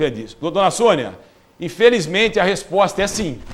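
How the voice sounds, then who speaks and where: A man talks with lively intonation. His voice sits high in pitch. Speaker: social security advisor. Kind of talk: live TV Q&A.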